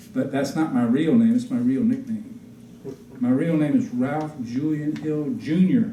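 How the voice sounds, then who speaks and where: Somewhat breathy and dark, mellow in tone, a man's fairly high voice with an American accent moves at a fairly slow pace, swinging very widely in pitch amid audible room echo. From Virginia, US South. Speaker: Episcopal priest. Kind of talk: public history talk. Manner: informal, folksy.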